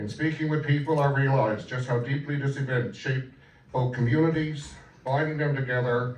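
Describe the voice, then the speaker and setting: Spoken at a moderate pace with ordinary pitch variation, the voice carries audible room echo and noticeable background noise. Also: man. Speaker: member of parliament. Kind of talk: formal speech at commemoration.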